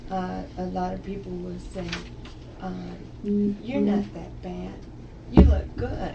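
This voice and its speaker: A woman speaks very slowly in a very deep, low voice, with lively intonation, big swings in loudness, and long, frequent pauses. Audible room echo and noticeable background noise surround her. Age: 60s. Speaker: sickle cell patient. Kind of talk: radio talk show interview.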